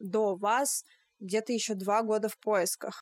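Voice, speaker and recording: A woman uses a normal speaking voice with a fairly high pitch and ordinary pitch variation. The sound is dry and close, with no echo. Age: 20s. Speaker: podcast host, German teacher. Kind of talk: casual interview chat. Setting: remote call.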